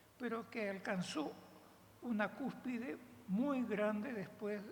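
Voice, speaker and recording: A woman at medium pitch, very slow pace and ordinary pitch variation. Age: 80s+. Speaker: veteran dance teacher. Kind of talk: panel talk.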